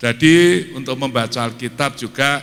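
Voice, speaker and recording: Very slow in pace, a man talks in a medium-pitched, bright and sharp voice with lively intonation. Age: 80s+. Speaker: guest preacher. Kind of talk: sermon. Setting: church.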